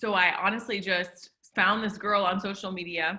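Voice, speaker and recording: Her bright, sharp tone carries at a medium pitch for a woman, and she speaks at a fairly slow pace. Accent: American. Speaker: network marketing entrepreneur. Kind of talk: interview testimony.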